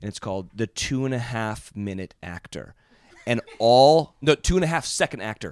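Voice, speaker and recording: In dry, close sound with no echo, a man with an unremarkable speaking voice talks at a moderate pace and medium pitch, his intonation lively and his loudness swinging widely. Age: 30s. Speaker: TV personality. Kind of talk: casual chat.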